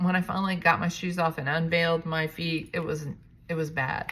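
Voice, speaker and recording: A woman speaks in a plain, everyday voice at a fairly low pitch. Her pace is fairly quick. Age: 60s. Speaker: realtor and vlogger. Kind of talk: casual vlog monologue. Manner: casual, with fillers and restarts.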